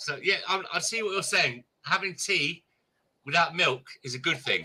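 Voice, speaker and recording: A man with an English accent speaks at a high pitch and a moderate pace in a bright, sharp tone. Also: lively intonation. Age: 50s. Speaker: live streamer. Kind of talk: casual chat.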